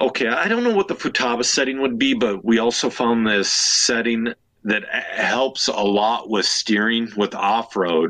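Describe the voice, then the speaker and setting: A man with an Upper Midwest accent talks at a fairly slow pace, with hardly any pauses. His medium-pitched voice keeps very even loudness and ordinary pitch variation. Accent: Upper Midwest (Minnesota). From Minnesota, Elk River. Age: 30s. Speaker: RC racer and podcast host. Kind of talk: casual chat.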